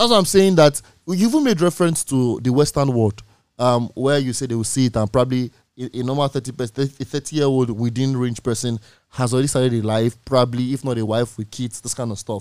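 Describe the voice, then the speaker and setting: Talking at a very fast pace, a man with a Nigerian accent has a medium pitch and ordinary pitch variation, recorded dry and close with no echo. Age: 20s. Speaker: radio host. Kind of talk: casual chat. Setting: studio.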